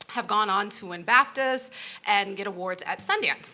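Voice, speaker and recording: A woman speaks in a New York accent with a bright, sharp tone and a fairly high pitch. Her pace is moderate and her pitch varies in an ordinary way. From New York (Brooklyn). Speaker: nonprofit founder. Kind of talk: panel discussion.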